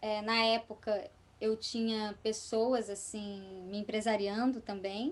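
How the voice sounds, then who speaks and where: A woman's fairly high, monotone voice with flat intonation at a very slow pace. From Espírito Santo, Brazil. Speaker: actress, voice actress and singer. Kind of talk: podcast interview answer.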